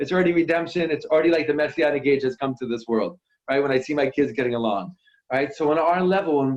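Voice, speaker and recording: A man speaks in an animated tone. His pitch variation is ordinary. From New York. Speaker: worship musician. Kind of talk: inspirational talk to online audience. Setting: video call.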